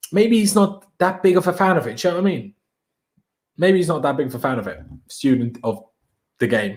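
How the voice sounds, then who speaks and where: A man with a high pitch makes very wide pitch swings and leaves long, frequent pauses. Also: fairly quick pace. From Austria. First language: German. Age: 20s. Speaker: football YouTuber. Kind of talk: live stream chat. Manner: casual, energetic.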